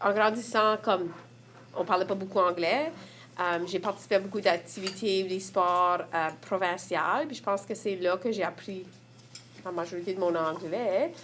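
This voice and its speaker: In an Acadian accent, a woman speaks fairly slowly at a medium pitch with ordinary pitch variation. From Prince Edward Island, Évangeline region. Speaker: community member. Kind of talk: testimony.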